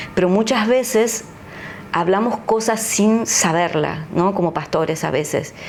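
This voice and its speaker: Noticeable background noise and audible room echo surround the recording. A woman speaks fairly slowly, with very even loudness and ordinary pitch variation. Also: medium pitch for a woman. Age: 60s. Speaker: pastor. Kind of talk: interview testimony.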